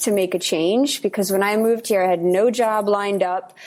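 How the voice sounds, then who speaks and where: Medium in pitch and dark, mellow in tone, a woman speaks with a New York accent. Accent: New York American. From Brooklyn, New York (Russian-speaking immigrant from age seven). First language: Russian. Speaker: nonprofit reforestation communicator. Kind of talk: podcast interview.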